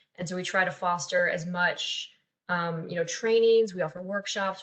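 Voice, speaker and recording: This woman's voice sits fairly low, somewhat breathy, moving at a fairly quick pace with fairly even intonation. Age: 20s. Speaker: youth peer support specialist. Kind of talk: webinar presentation.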